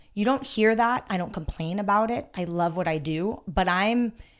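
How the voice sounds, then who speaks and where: Over a very clean recording with a silent background, a woman speaks at medium pitch with ordinary pitch variation and an unremarkable speaking voice. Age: 40s. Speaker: personal trainer and gym owner. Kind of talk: casual chat.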